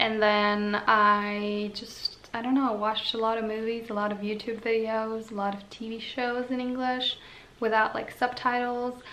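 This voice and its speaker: In a Slovene accent, a woman with fairly high pitch speaks in a monotone, flat way amid audible room echo and noticeable background noise. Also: moderate pace. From Slovenia. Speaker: vlogger. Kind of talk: casual chat.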